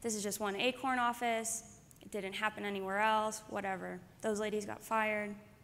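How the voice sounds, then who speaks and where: An unremarkable speaking voice comes from a woman. Her pitch is fairly high. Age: 20s. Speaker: activist journalist. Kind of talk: conference speech.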